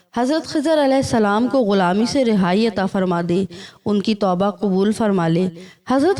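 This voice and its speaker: A woman's fairly high voice with a dark, mellow tone and lively intonation. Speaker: voice-over artist. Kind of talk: religious story narration.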